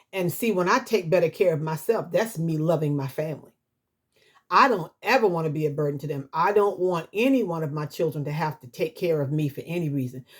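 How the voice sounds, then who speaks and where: A woman's normal speaking voice, fairly low in pitch, with lively intonation. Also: fairly quick pace. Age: 60s. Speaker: YouTuber sharing life advice. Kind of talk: casual vlog monologue.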